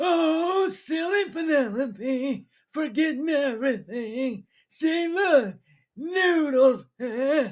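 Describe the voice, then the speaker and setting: A put-on character voice, high in pitch, at a very slow pace. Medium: audio drama. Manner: dismissive.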